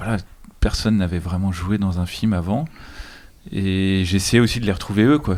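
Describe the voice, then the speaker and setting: A man with a very deep, low pitch keeps his intonation fairly even as he talks at a moderate pace. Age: young. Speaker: film director. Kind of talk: casual chat.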